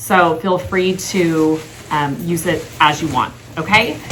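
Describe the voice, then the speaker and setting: A woman is speaking amid noticeable background noise. Her voice carries an audible room echo. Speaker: title company representative. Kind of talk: training presentation. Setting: team training meeting recorded on video call.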